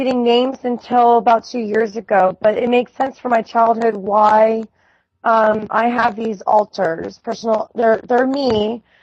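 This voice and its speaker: At a fairly slow pace, a woman talks in a normal speaking voice. Her pitch is fairly high and her intonation fairly even. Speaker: trauma survivor sharing her story. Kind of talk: casual chat.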